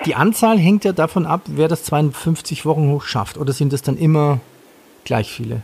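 A man's voice with a slightly husky edge, a slightly mellow tone, vocal fry and ordinary pitch variation. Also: fairly high pitch for a man, moderate pace.

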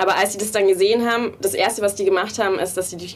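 A woman's very fast speech at a medium pitch amid noticeable background noise. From small town in Bavaria. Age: 20s. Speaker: designer and game co-founder. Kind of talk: interview.

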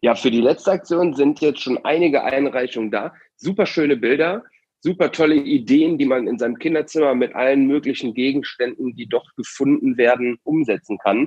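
Having a plain, everyday voice, this man keeps a moderate pace, his fairly high pitch showing ordinary pitch variation. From Aachen, Germany. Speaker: youth arts programme leader, podcast host. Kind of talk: casual podcast chat.

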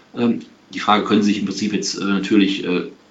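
A man talks at a fairly quick pace in a room with audible echo. Noticeable background noise runs underneath. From Aachen, western Germany. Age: 40s. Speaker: tax advisor. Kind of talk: webinar lecture. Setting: video webinar. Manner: hesitant, many filler sounds.

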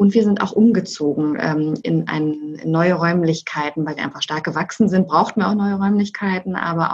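Using a plain, everyday voice, a woman talks at a moderate pace with fairly low pitch and fairly even intonation. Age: 40s. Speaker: managing director. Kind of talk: interview.

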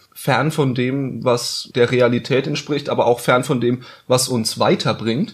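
A somewhat breathy male voice at a fairly slow pace, with fairly even intonation. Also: medium pitch for a man. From Bavaria, Bayreuth (Upper Franconia). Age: 20s. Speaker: podcast host, journalist. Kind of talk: casual chat.

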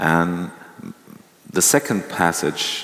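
A man with a German accent talks at a very slow pace in a very deep, low voice over noticeable background noise. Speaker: interviewer, culture editor. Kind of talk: moderated interview. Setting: stage with audience.

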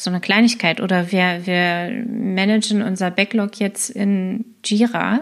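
A woman speaks in a normal speaking voice at a medium pitch, with fairly even intonation. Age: 30s. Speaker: scrum master and agile coach. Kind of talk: casual interview.

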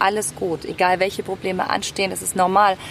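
Against noticeable background noise, a woman speaks at a moderate pace and medium pitch. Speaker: singer and speaker. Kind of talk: casual chat. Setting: outdoors.

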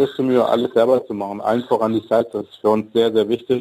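Delivered at a very fast pace, the voice has a dark, mellow tone and a monotone, flat intonation. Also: man. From Germany, Wolfsburg (born in Mexico, moved at ten). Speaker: chef and food truck owner. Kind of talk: radio interview. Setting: studio.

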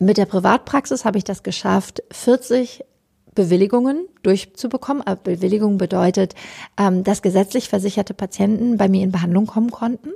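A woman speaks with few pauses at a medium pitch, using ordinary pitch variation. Her dark, mellow tone carries vocal fry and a slightly husky edge. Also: fairly quick pace.

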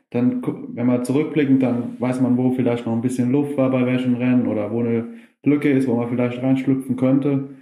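A man's dark, mellow voice in a monotone, flat delivery, with audible room echo. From Germany, Westerwald. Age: 20s. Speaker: grass skiing athlete. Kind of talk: interview. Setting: video call.

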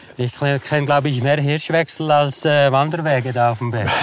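With noticeable noise behind him, the man's fairly high voice moves at a moderate pace and shows ordinary pitch variation. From Switzerland, Bernese Oberland (Interlaken). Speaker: adventurer and hunter. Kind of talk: casual interview. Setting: outdoors on a winter walk. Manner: halting, many fillers.

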